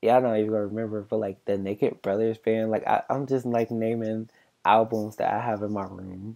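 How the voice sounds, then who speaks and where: Monotone and flat in intonation, a man of medium pitch talks at a fairly quick pace. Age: 20s. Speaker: podcast host. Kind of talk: casual chat. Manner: halting.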